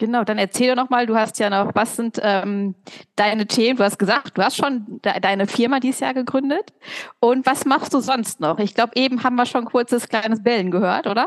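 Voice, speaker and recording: Dry and close with no echo, a woman's unremarkable speaking voice sits at fairly high pitch with ordinary pitch variation. She keeps a fairly quick pace and very even loudness. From East Westphalia, Germany. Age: 30s. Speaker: podcast co-host. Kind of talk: casual chat.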